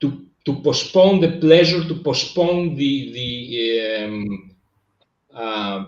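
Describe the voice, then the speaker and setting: A fairly high-pitched man with a Greek accent, very slow pace, lively intonation and big swings in loudness, with audible room echo. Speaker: business coach. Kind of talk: casual chat. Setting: live stream. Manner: halting.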